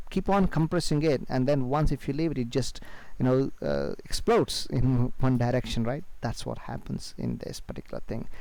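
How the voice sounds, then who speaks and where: Here a man speaks at a medium pitch with ordinary pitch variation. His tone is dark and mellow. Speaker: trading educator. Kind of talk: tutorial. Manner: fast; hesitant, many fillers.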